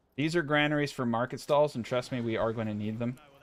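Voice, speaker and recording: Here a man talks fairly quickly with a strong American accent. His pitch is medium, with ordinary variation. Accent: thick American. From California. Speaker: gaming streamer. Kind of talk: gameplay commentary. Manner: casual, animated.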